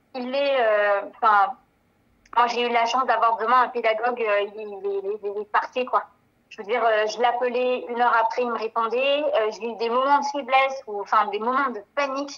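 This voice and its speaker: Her intonation fairly even, a woman speaks at a fairly high pitch and a moderate pace. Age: 30s. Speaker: beautician and former adult-education student. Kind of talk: testimony. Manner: hesitant, many fillers.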